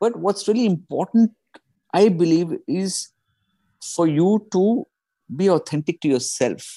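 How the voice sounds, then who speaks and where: Against a quiet background, a man speaks fairly slowly with long, frequent pauses and lively intonation. His high voice has a dark, mellow tone and a dry, close sound with no echo. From India. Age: 40s. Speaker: stand-up comedian and executive coach. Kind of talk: casual chat.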